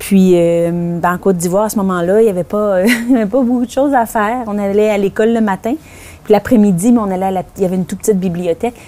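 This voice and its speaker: A woman with a Quebec accent talks at a very fast pace, her medium pitch showing ordinary variation. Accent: Québécois French. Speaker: author. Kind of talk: interview. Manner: hesitant, many fillers.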